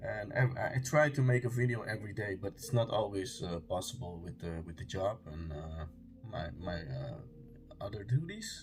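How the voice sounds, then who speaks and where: Music plays behind a man who speaks at a moderate pace with a fairly low pitch, very wide pitch swings and big swings in loudness. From Denmark. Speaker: conspiracy video creator. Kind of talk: casual monologue to camera. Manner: halting, many fillers and restarts.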